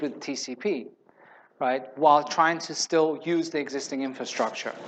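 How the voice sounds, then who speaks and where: The pace is moderate. The speaker is a man with a non-native accent. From Spain. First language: not English. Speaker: conference speaker, software developer advocate. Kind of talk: conference talk with Q&A. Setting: stage with audience. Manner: conversational, some hesitations.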